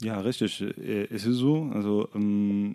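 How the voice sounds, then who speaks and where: A man speaks at medium pitch with ordinary variation and a dark, mellow tone. The recording is very clean with a silent background and a dry, close sound with no echo. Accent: Arabic. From Tunisia, Sfax. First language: Arabic (speaking German). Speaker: doctor. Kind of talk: casual chat. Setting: flatshare kitchen table. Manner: halting, many fillers.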